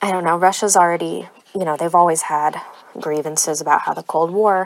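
The speaker has an American accent and moves at a moderate pace. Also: woman. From born in Odessa, Ukraine, raised in the US. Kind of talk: solo monologue.

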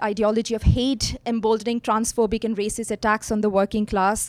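In a very clean recording with a silent background and a dry, close sound with no echo, a woman speaks fairly quickly at a fairly high pitch in a monotone, flat way. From Middle East. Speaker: socialist activist speaker. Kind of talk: talk at a conference.

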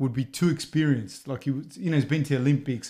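Speaking in an Australian accent, a man has a fairly high pitch, a dark, mellow tone and ordinary pitch variation. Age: 30s. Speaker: podcast host and teacher. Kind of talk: casual interview. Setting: studio.

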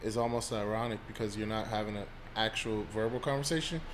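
With an American accent, the speaker talks at a fairly quick pace in a normal speaking voice. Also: man. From US Mid-Atlantic (Washington DC area). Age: 30s. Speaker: psychologist. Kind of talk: casual chat.

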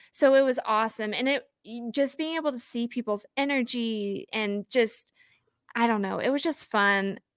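A normal speaking voice from a woman with an American accent, fairly high in pitch with ordinary variation, at a moderate pace, dry and close with no echo on a very clean recording with a silent background. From Oklahoma, small town. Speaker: fantasy football podcaster and content analyst. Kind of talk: casual chat interview.

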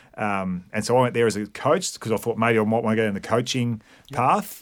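On a very clean recording with a silent background, a man talks at a fairly quick pace and medium pitch with fairly even intonation. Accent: Australian. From Victoria, Australia. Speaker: high performance manager. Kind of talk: casual chat.

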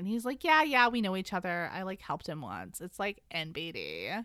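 A woman with an American accent and medium pitch uses a normal speaking voice at a moderate pace with lively intonation, recorded very cleanly with a silent background and a dry, close sound with no echo. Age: 30s. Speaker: podcast co-host. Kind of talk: casual chat with book recap.

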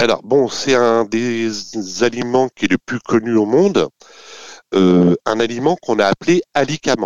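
At a fairly slow pace, a man speaks at a medium pitch with ordinary pitch variation and long, frequent pauses. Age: 50s. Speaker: company executive. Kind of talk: interview. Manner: hesitant, repeats words; enthusiastic.

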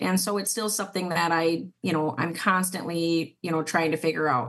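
At a moderate pace, a woman speaks in a fairly low voice with a Minnesota accent. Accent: Upper Midwest (Minnesota) American. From southern Minnesota. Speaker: city council member. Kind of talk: casual interview.

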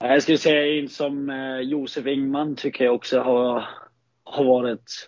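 A man with a Danish accent talks at a fairly slow pace. His intonation is monotone and flat. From Denmark, Frederikshavn. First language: Danish (speaking Swedish). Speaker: ice hockey player. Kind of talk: casual interview. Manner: halting, many fillers.

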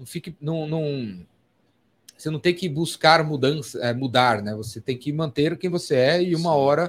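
A man with a normal speaking voice, fairly high in pitch, ordinary pitch variation, at a moderate pace. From São Paulo, Brazil. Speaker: podcast host. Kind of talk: casual chat. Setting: studio.

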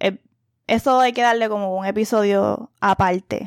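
A woman with a Puerto Rican accent speaks with ordinary pitch variation on a very clean recording with a silent background, the sound dry and close with no echo. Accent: Puerto Rican Spanish with Spanglish. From Puerto Rico. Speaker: podcast host. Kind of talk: casual monologue.

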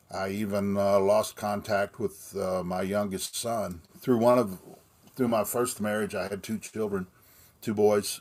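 At a fairly slow pace, a man with an American accent speaks in a flat monotone at a fairly low pitch. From Texas, Austin. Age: 60s. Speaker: recovering alcoholic sharing his story. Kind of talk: personal testimony. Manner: halting.

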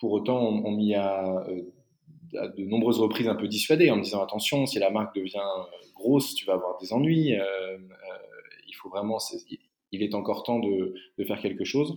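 Moderate pace and ordinary pitch variation. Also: man, fairly low pitch for a man. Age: 30s. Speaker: travel company founder. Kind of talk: interview. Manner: halting.

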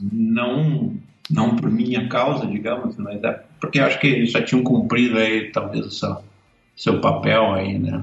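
Speech unfolds at a fairly slow pace. There is audible room echo and noticeable background noise. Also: man. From southern Brazil, Caxias do Sul, Rio Grande do Sul. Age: 50s. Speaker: cartoonist. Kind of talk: casual interview.

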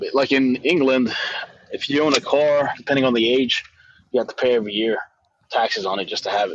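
At a fairly quick pace but with long, frequent pauses, a man speaks in a medium pitch with ordinary pitch variation. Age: 30s. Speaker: car salesman. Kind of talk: casual chat.

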